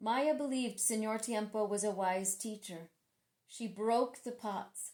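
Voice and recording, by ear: A natural read-aloud voice over a quiet background.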